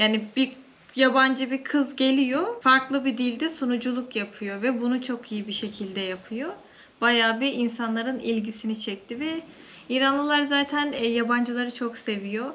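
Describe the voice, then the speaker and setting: Her tone is bright and sharp, and this woman's pitch is high. She keeps a moderate pace with fairly even intonation. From Turkey, Samsun. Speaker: TV presenter and YouTuber. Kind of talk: interview. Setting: indoors in a family home.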